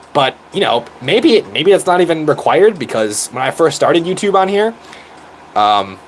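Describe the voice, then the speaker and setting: Noticeable background noise sits under a man's high-pitched voice. He speaks at a moderate pace with very wide pitch swings. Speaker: YouTuber. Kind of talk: casual chat. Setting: live stream. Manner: animated.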